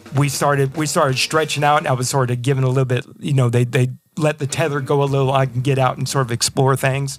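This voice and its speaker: Music plays in the background as a man with a Texan accent speaks at a very fast pace. His pitch is medium and his loudness very even. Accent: Texan American. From Texas. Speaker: blues rock guitarist. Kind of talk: casual interview chat. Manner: animated.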